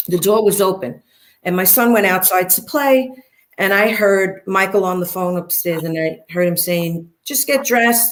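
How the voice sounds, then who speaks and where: Speaking at a moderate pace, a woman with a Brooklyn accent uses ordinary pitch variation. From Brooklyn, New York. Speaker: interviewee, former mob wife. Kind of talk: interview, personal story. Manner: animated.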